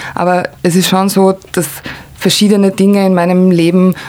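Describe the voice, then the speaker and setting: Against noticeable background noise, a woman speaks at a moderate pace with monotone, flat intonation. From Croatia (former Yugoslavia). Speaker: art consultant and cultural manager. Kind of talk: casual interview conversation.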